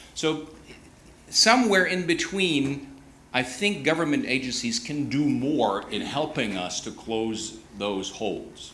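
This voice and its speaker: At a fairly slow pace, the voice makes very wide pitch swings, with audible room echo around it. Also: man, fairly high pitch for a man. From Germany. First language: German. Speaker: conference panel participant. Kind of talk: panel discussion. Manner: halting.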